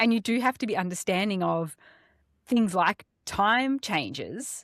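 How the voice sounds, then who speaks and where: A woman's medium-pitched voice at a fairly slow pace with ordinary pitch variation, dry and close with no echo, on a very clean recording with a silent background. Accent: Australian. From Australia, Melbourne. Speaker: podcast co-host. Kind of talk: casual chat.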